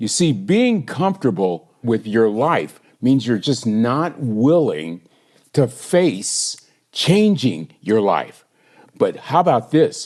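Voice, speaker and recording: Against a quiet background, a man with a medium pitch talks at a very slow pace, his pitch swinging very widely. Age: 60s. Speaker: inspirational speaker and minister. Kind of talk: motivational podcast monologue.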